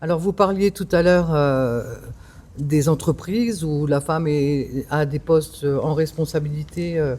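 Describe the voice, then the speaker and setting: Her voice has a very deep, low pitch and a dark, mellow tone. This woman shows ordinary pitch variation. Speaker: member of parliament. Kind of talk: interview.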